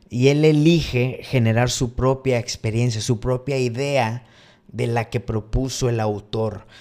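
A man's medium-pitched voice with fairly even intonation, at a very slow pace. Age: 30s. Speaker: podcast host. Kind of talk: casual monologue live stream.

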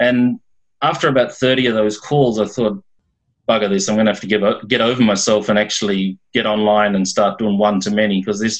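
A man with an ordinary speaking voice talks fairly quickly at a fairly low pitch with fairly even intonation. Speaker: accountant. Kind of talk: group video call discussion. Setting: video call.

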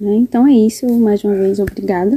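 A woman's fairly high, somewhat breathy voice in a dark, mellow tone, with ordinary pitch variation and a dry, close sound without echo. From Brazil, interior of Rio Grande do Norte. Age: 20s. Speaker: fashion designer and journalism student. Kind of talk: interview.

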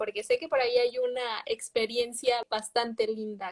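A woman's lively intonation at a moderate pace. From Mexico. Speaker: livestream host. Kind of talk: casual interview. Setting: livestream.

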